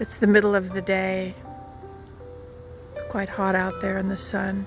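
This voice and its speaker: Music plays in the background while a woman speaks at a fairly slow pace. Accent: American. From Southern California. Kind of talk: casual vlog talk to camera. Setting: outdoors. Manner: soft-spoken; dramatic.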